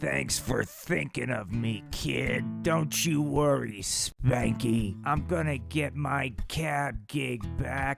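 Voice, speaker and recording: In a raspy, cartoonish character voice with a medium pitch, a man speaks at a very slow pace with very wide pitch swings and hardly any pauses, clear music playing in the background. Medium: puppet show. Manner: gruff, boozy.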